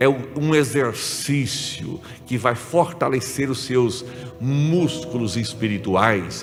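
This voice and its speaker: With music in the background and audible room echo, a man speaks at a medium pitch. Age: 60s. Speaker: pastor. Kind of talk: sermon. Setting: church symposium with audience. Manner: conversational, frequent check-ins with audience.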